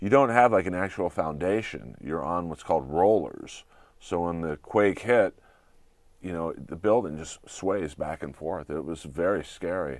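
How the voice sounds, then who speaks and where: With vocal fry, lively intonation and big swings in loudness, the voice moves at a fairly slow pace on a very clean recording with a silent background. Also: man, very deep, low pitch for a man. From Southern California. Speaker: comedian and voice actor. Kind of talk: interview chat. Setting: studio.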